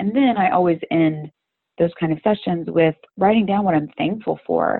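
A woman with an American accent and an unremarkable speaking voice, at a moderate pace with ordinary pitch variation. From Florida, US. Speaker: personal fitness trainer. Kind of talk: casual interview. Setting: phone call.

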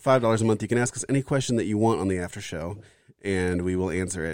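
A man talks at a very fast pace. His pitch sits fairly low, with ordinary variation. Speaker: podcast co-host. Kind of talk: casual chat.

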